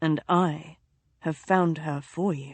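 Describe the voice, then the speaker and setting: A woman uses a put-on character voice, very deep and low in pitch, with monotone, flat intonation. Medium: read story.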